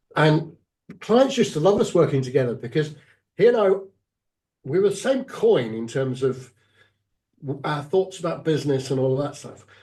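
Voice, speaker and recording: A man with a fairly high pitch and a dark, mellow, somewhat breathy tone speaks at a moderate pace with lively intonation and long, frequent pauses. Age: 60s. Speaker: executive coach. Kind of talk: interview.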